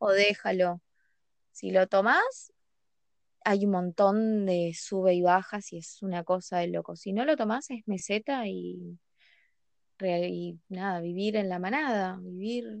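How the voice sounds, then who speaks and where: Against a quiet background, a woman talks very slowly at a medium pitch, with ordinary pitch variation and big swings in loudness. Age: 20s. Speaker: podcast guest. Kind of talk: casual chat. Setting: recording at night.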